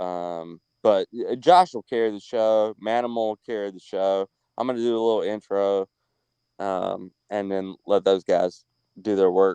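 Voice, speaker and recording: Speaking at a moderate pace with a slight Southern US accent, the voice has a dark, mellow tone, fairly even intonation and big swings in loudness, the sound dry and close with no echo. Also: man, fairly low pitch for a man. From North Carolina. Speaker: livestream guest. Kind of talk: casual chat. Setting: at his beach house, online call. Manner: halting.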